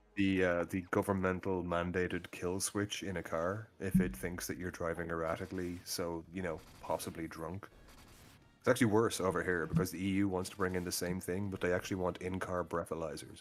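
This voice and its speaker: A man with an Irish accent, very deep and low in pitch, talking at a fairly quick pace in a monotone, flat intonation. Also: very clean recording, silent background. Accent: Irish, noticeable. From Ireland. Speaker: gaming stream guest. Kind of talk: casual chat. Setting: live stream.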